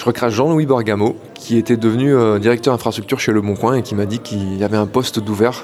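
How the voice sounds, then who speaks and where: There is noticeable background noise as a man speaks at a moderate pace. His pitch is fairly low and his intonation fairly even. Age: 30s. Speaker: site reliability engineer. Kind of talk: career interview monologue. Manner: hesitant, many filler words.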